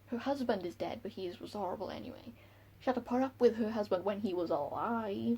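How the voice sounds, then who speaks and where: A woman speaks with a strong Welsh accent in a dark, mellow tone with some vocal fry. Her intonation is lively and her pace moderate. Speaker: book reviewer vlogger. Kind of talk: casual vlog talk. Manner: animated.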